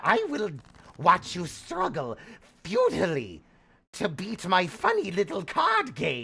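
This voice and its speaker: With long, frequent pauses and a fairly slow pace, a man uses a raspy, put-on character voice pitched high. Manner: menacing, mocking.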